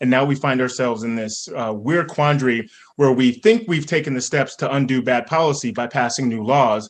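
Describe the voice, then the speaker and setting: The man has an ordinary speaking voice at a medium pitch, with ordinary pitch variation. He talks at a fairly quick pace. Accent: American. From North Carolina, Raleigh. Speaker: author and scholar. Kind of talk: panel discussion. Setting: stage with audience.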